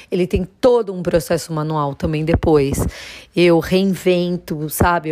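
A woman speaks at a fairly slow pace with fairly even intonation and a fairly low pitch. She has an ordinary speaking voice. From Brazil, Jundiaí (São Paulo state). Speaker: ceramic artist. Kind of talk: personal storytelling monologue.

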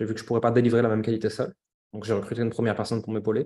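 The man's voice sits at a medium pitch. His tone comes across as dark and mellow. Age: 30s. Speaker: entrepreneur. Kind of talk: casual chat.

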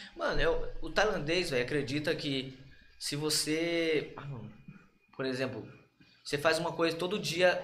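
With audible room echo and noticeable background noise, a man with a fairly high voice talks at a fairly slow pace, leaving long, frequent pauses and keeping his intonation fairly even. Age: 20s. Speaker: professional Muay Thai fighter. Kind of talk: casual chat.

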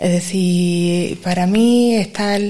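Here is a woman's voice. Her intonation is fairly even. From Granada, Spain. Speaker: secondary school teacher. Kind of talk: interview.

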